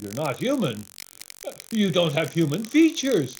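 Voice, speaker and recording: Using a put-on character voice, the speaker talks at a middle pitch and moderate pace with very wide pitch swings. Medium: stage play. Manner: earnest, gentle.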